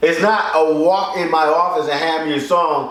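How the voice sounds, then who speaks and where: There is audible room echo around a high-pitched man. He talks at a moderate pace with a Philadelphia accent. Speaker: record label executive and show host. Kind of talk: casual music critique chat.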